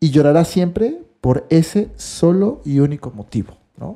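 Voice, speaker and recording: With a Mexican accent, a man speaks in a dark, mellow tone that is somewhat breathy, with lively intonation. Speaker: podcast co-host, writer. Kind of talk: casual chat. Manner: halting, repeats words.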